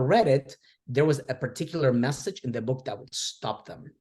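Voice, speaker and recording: Speaking with a Spanish accent, a man uses a medium pitch, ordinary pitch variation and a somewhat breathy, animated tone at a moderate pace. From Argentina, then Downey, California from age 11. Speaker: educator and author. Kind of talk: interview. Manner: animated, with frequent repetitions and fillers.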